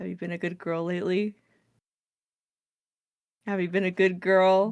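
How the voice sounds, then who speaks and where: A put-on character voice, husky and at a middle pitch, moves at a moderate pace. Its intonation stays monotone and flat. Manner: intimate, suggestive.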